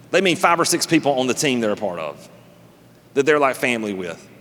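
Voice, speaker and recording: Speaking at a very fast pace, a man with a Southern US accent sounds animated. His pitch swings very widely. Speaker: pastor. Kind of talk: sermon. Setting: church service with live congregation. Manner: animated, conversational.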